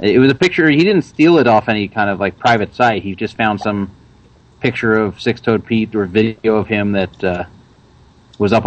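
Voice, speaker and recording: Speaking fairly quickly, a man uses an ordinary speaking voice, fairly low in pitch with ordinary pitch variation. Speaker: caller, forum moderator. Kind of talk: casual call-in chat. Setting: phone call.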